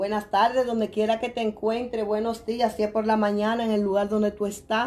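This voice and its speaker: A woman with a fairly high pitch speaks fairly slowly in an animated tone. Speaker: product distributor; product seller vlogger. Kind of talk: live video sales pitch. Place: home room. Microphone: phone near.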